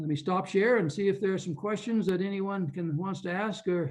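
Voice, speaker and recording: Audible room echo surrounds a man speaking at a high pitch and a fairly quick pace with fairly even intonation. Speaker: physician and health ministry leader. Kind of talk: conference presentation. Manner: fast.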